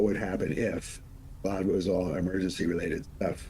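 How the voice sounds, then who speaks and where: A man talks very fast in a very deep, low voice with a dark, mellow tone. His delivery is monotone and flat, and somewhat breathy. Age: 70s. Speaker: monk and politician, former emergency official. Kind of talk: interview.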